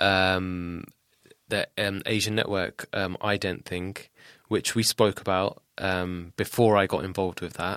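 Monotone, flat intonation in a southern English accent at a fairly slow pace, on a very clean recording with a silent background and a dry, close sound with no echo. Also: man, very deep, low pitch for a man. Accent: southern English (Luton), British Punjabi. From England, Luton. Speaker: rapper. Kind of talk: casual chat. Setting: studio.

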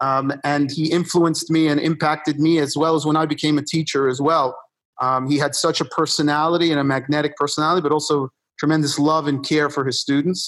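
On a very clean recording with a silent background, a man talks at a fairly quick pace in a fairly high voice. His intonation is monotone and flat, and his loudness stays very even. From US Northeast, New York (Upper West Side), born in Argentina. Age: 50s. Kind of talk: interview conversation.

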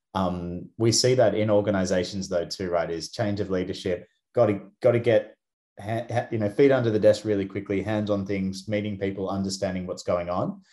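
A man with an Australian accent talks at a fairly quick pace with fairly even intonation. His tone is dark and mellow, on a very clean recording with a silent background. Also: fairly low pitch for a man. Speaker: company co-founder and podcast host. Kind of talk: casual chat.

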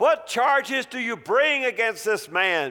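A man puts on a character voice, gruff yet extremely high in pitch. He delivers it at a fairly slow pace with lively intonation. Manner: gruff, demanding.

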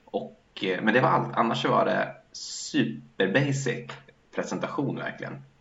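Background noise is clearly present and the room echoes audibly as a man talks very slowly. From Sweden. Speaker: podcast co-host. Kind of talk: casual chat.

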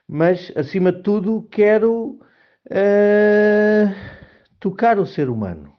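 A man talks with a Lisbon accent. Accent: European Portuguese (Lisbon area). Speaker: marketing professional. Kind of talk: personal monologue. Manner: halting.

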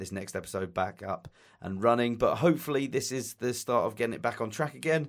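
Talking at a very fast pace in an enthusiastic tone, a man with a Southeast English accent keeps a medium pitch and ordinary pitch variation on a very clean recording with a silent background. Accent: English (southeast England). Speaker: podcast host. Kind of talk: casual interview chat. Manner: friendly, enthusiastic.

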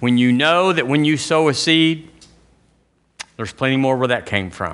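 This is a man with an Alabama accent. The background is quiet. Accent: Southern US (Alabama). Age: 60s. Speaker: pastor. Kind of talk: sermon. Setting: church.

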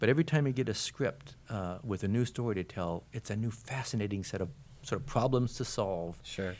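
With an American accent, a man uses an ordinary speaking voice, fairly low in pitch, talking at a fairly quick pace with lively intonation. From Portland, Oregon, US. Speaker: comic book artist and writer. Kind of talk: live interview. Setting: comic convention panel room.

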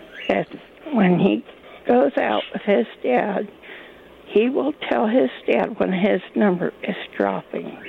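Very slow and marked by long, frequent pauses, a woman speaks with an American accent. Background noise is noticeable. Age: 80s+. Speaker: caller. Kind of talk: call-in radio conversation. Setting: phone call.

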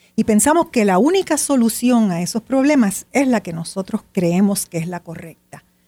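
A dark, mellow, somewhat breathy voice with very wide pitch swings and big swings in loudness runs on with hardly any pauses, sounding dry and close with no echo. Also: woman, fairly high pitch for a woman, moderate pace. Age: 70s. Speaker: writer and meditation teacher. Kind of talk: interview.

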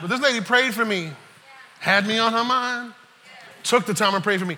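Over noticeable background noise, a man with a high voice speaks in a raised, projected way, sounding animated and passionate, with ordinary pitch variation. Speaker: preacher. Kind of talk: sermon to a live congregation. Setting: church. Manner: animated, call-and-response, urging the crowd to say amen; passionate, emphatic, preaching with rising intensity.

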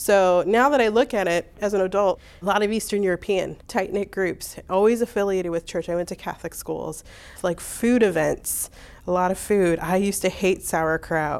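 Here is a woman with a Midwestern American accent and a medium pitch. She keeps a moderate pace and ordinary pitch variation. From US Midwest, Hammond, Indiana. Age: 40. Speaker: oral history interviewee. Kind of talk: personal storytelling.

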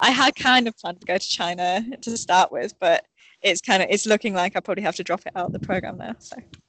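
Speaking with a Yorkshire accent, a woman goes at a very fast pace with ordinary pitch variation and big swings in loudness. The sound is dry and close, with no echo. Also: medium pitch for a woman. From northern England, Sheffield, Yorkshire. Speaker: elite orienteer. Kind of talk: casual interview. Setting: remote call from training camp abroad.

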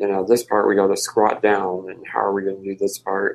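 A man with a Midwestern US accent at a moderate pace. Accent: US Midwest. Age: 30s. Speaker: wheelchair user and travel project founder. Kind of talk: interview.

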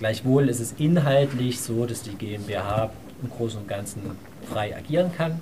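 A man at medium pitch, with audible room echo and noticeable background noise. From Saxony, Dresden. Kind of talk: panel talk.

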